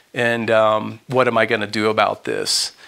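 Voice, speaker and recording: A man talks in a bright, sharp tone. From Texas (Houston). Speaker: author and journalist. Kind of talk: lecture. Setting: room with audience. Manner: halting. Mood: earnest, somber. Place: home room. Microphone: lapel.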